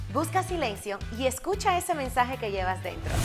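With music in the background, a woman speaks in a high pitch at a moderate pace with an upbeat tone. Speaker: radio host, speaker and business coach. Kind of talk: advice tips to camera. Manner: upbeat, friendly, conversational.

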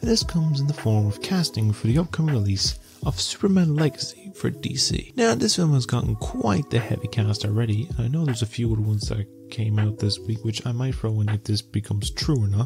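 A soft-spoken man talks at a fairly quick pace with lively intonation and hardly any pauses, with clear music in the background. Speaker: YouTube news and entertainment commentator. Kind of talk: casual talk to camera, news commentary. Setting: late-night home recording. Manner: soft-spoken, ASMR style. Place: home room. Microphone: handheld.

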